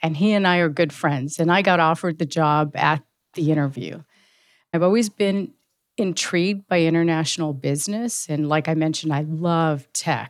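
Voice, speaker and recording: In a very clean recording with a silent background, a woman with an unremarkable speaking voice talks at a fairly low pitch and a moderate pace, with ordinary pitch variation and very even loudness. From US, Cuban American family, emigrated from Cuba at two. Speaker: technology executive. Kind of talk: interview.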